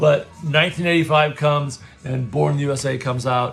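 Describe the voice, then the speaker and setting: A man with a medium pitch talks at a moderate pace while music plays in the background. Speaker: storyteller. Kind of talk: casual chat. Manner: halting.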